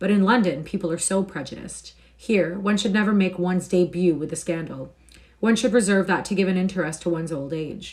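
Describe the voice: The speaker is doing plain reading aloud.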